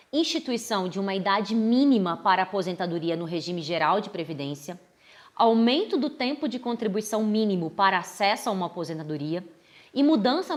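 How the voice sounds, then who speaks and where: A woman's medium-pitched voice swings very widely in pitch as she talks at a moderate tempo. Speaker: law professor. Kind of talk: explainer monologue. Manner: formal.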